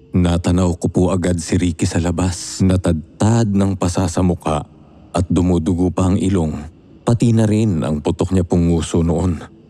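A man's very deep, low voice at a moderate pace, fairly even in intonation, with music in the background. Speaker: narrator. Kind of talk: horror story narration, reading a letter-sender's account aloud. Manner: measured storyteller pace, suspenseful and dramatic, polite.

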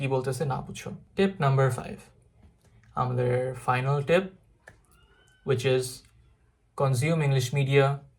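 A man's medium-pitched voice is somewhat breathy, and his intonation stays fairly even. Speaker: IELTS tutor. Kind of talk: tutorial. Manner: low energy.

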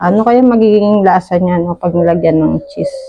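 In an animated tone, a woman speaks at a fairly slow pace. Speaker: cooking vlogger. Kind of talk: casual cooking vlog. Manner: chatty, animated.

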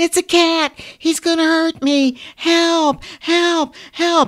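A man puts on a character voice, pitched extremely high and shrill. He speaks at a very slow pace. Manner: screeching, panicked.

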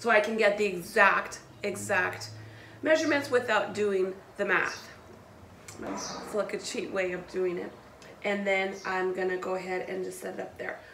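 There is noticeable background noise as a woman speaks at a moderate pace, with ordinary pitch variation. Her loudness swings widely, and she takes long, frequent pauses. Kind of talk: tutorial. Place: garage. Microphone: camera far.

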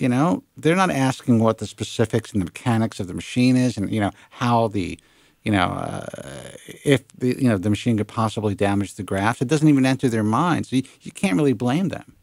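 A man's medium-pitched voice at a fairly quick pace with lively intonation, a dry sound with no echo and a quiet background. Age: 40s. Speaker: radio host and hair loss consumer advocate. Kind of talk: call-in radio show. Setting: studio. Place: studio. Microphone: studio mic.

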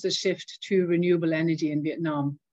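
In a Norwegian accent, a woman speaks with ordinary pitch variation, a dry sound with no echo and a quiet background. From Norway. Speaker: diplomat; interview guest. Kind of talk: interview. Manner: hesitant, many fillers. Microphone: video call.

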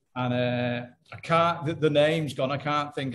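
Light background noise sits under a man speaking at a moderate pace. His intonation stays fairly even. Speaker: guest. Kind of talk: interview answer. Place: home room. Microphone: video call.

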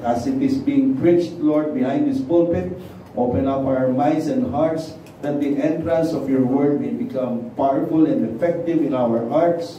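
Light background noise and audible room echo accompany speech at a fairly slow pace. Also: man. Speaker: preacher. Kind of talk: sermon. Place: church.

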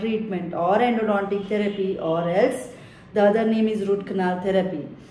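A woman speaks with fairly even intonation. Room echo is audible. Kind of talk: educational explanation to camera. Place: office. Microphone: phone near.

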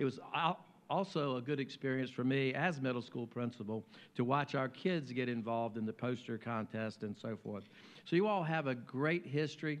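This man has an American accent and a medium pitch, with an ordinary speaking voice. He talks at a moderate pace with ordinary pitch variation. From US South, Virginia. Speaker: mayor. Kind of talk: speech. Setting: luncheon stage with audience. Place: hall. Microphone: podium.

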